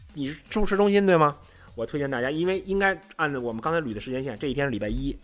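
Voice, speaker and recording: With music in the background, a man speaks very fast at a fairly high pitch with lively intonation. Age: middle-aged. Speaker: football writer. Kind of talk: casual chat.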